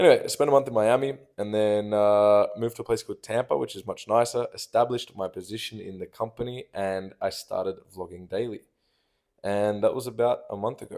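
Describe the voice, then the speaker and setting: A man speaks at a fairly quick pace with an Australian accent. His loudness swings widely. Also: very clean recording, silent background. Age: 20s. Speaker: vlogger. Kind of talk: personal monologue reading own notes. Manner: casual.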